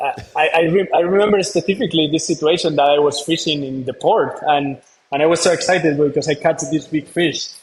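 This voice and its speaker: A man speaks with a Spanish accent at a fairly quick pace. His pitch is fairly high, with fairly even intonation. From northern Spain. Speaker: marine conservation founder, former engineer. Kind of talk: interview.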